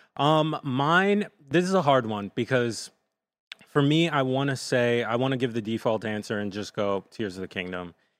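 In a very clean recording with a silent background, a normal speaking voice with an American accent and lively intonation proceeds at a moderate pace. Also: man, medium pitch for a man. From New Jersey, Jersey City. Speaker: video producer. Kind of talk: casual chat.

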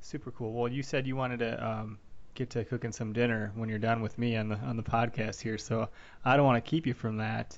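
Using a normal speaking voice, a man talks at a fairly quick pace in a medium pitch with fairly even intonation. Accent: American. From Wisconsin. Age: 30s. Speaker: podcast host. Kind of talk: casual interview.

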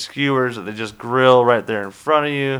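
A man with an American accent and an ordinary speaking voice, medium in pitch, at a moderate pace with fairly even intonation, on a very clean recording with a silent background. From US South, Charlotte, North Carolina. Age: 20s. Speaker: podcast host. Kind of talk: casual chat; trivia quiz hosting.

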